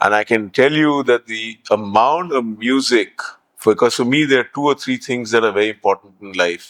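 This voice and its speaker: In a dry, close sound with no echo, a man talks at a medium pitch with ordinary pitch variation. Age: 60s. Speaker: heritage hotel owner. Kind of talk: interview. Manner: animated.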